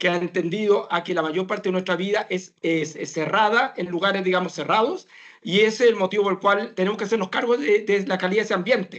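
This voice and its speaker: Fairly quick speech from a man pitched high, with ordinary pitch variation. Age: 60s. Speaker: professor of medicine. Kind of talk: talk Q&A answer.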